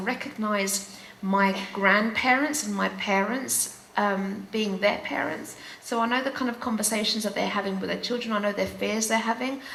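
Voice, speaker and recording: A woman with a London accent at a moderate pace, ordinary pitch variation, noticeable background noise and audible room echo. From England, UK, Greek Cypriot family. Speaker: teacher. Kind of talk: panel conversation. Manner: halting, many fillers.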